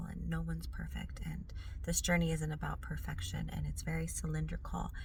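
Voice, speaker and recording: Her voice is raspy, with fairly even intonation. The woman keeps a moderate pace amid audible room echo. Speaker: spiritual wellness vlogger. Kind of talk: casual vlog monologue.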